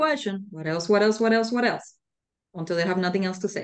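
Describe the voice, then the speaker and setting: Speaking at a very fast pace, a woman keeps a medium pitch. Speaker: leadership trainer. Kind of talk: lecture.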